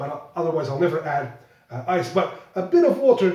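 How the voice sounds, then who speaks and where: A man speaks at a moderate pace with a Flemish accent. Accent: Belgian Dutch (Flemish) accent in English. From Belgium. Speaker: whisky blogger. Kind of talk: whisky tasting review. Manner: halting, with repetitions.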